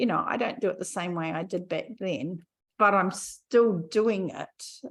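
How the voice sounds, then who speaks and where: At a fairly slow pace, a woman talks in an unremarkable speaking voice, her medium pitch showing ordinary variation. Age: 60s. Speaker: podcast host, health coach. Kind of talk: casual chat.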